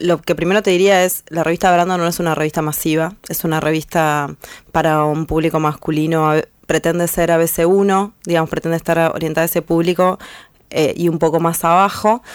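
Over a very clean recording with a silent background, a woman talks at a moderate pace with a fairly low pitch and flat, monotone intonation. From Argentina, northern Buenos Aires province. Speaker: feminist artist and blogger. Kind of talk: interview. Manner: halting, many fillers.

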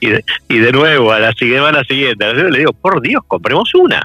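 A man with an Argentine accent speaks at a fairly quick pace. Noticeable background noise is present. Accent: Argentine Spanish (Rioplatense). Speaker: corporate sustainability manager. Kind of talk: interview.

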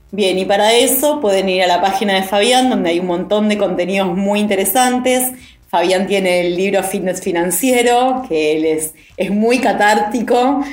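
A woman at a fairly slow pace and medium pitch, ordinary pitch variation, very even loudness, with noticeable background noise and audible room echo. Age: 40s. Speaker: podcast co-host. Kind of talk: podcast interview.

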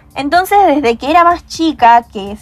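Music plays in the background as a woman talks at a moderate pace. Her intonation is lively. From Argentina, Córdoba province (Hernando). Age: young. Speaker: software engineering student. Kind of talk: podcast interview. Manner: hesitant, many fillers.

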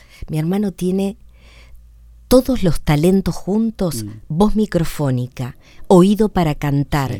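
Pausing long and often, a woman speaks at a fairly slow pace in a fairly low pitch with a dark, mellow tone and very wide pitch swings, on a very clean recording with a silent background. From Argentina, San Pedro. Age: 60s. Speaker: radio announcer and comedic impressionist. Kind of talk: radio interview.

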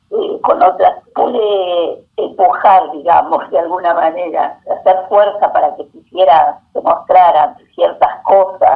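A woman speaks at a very slow pace. She leaves hardly any pauses. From Argentina. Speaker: visual artist. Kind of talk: interview. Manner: halting.

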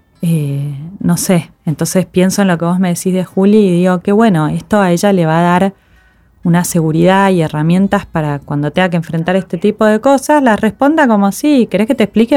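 In a dry, close recording with no echo, a woman with an Argentine accent talks very fast with lively intonation. Her fairly low voice has a dark, mellow tone. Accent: Rioplatense Argentine Spanish. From Argentina. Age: 40s. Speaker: podcast host, adoptee. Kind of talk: casual interview.

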